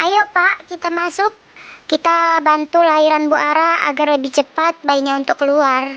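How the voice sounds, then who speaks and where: A put-on character voice with a high pitch speaks at a moderate pace. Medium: machinima. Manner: encouraging.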